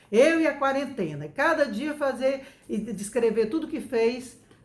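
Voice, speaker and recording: Amid audible room echo, a woman talks at a fairly slow pace with lively intonation. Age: 60s. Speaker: educator giving parenting advice. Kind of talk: talk to camera, parenting advice. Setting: home recording.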